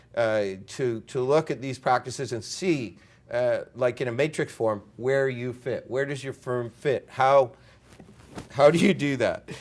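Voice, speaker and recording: A man has a normal speaking voice at a medium pitch. He talks at a fairly slow pace with ordinary pitch variation. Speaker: consultant on international development lending. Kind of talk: conference presentation.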